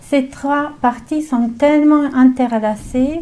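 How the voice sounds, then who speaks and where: The voice has a dark, mellow tone and a slight Slavic accent, with ordinary pitch variation. It moves at a very slow pace, with audible room echo. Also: woman. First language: not French; mainly English-speaking (speaking French). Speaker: naturopath. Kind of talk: lecture. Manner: halting, many hesitations.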